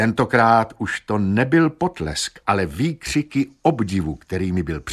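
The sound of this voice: Reading in an unforced voice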